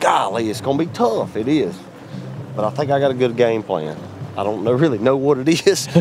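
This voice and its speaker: Over noticeable background noise and audible room echo, a man with an Alabama accent speaks in an animated tone with lively intonation. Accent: Southern US (Alabama). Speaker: professional bass angler. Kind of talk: casual vlog talk to camera.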